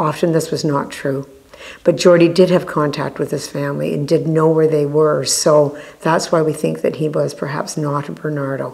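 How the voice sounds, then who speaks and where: A woman's very deep, low pitch, monotone and flat in intonation, at a moderate pace. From Canada. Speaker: family storyteller. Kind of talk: interview answer. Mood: calm, reflective. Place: studio. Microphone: lapel.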